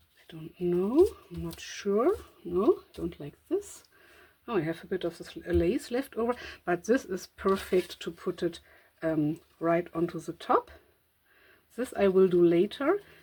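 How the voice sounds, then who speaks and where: The voice has a dark, mellow tone and moves at a fairly slow pace, with long, frequent pauses, ordinary pitch variation and big swings in loudness. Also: woman, medium pitch for a woman. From Germany. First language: German. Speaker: crafting content creator. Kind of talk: craft tutorial with thinking aloud. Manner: hesitant, many fillers.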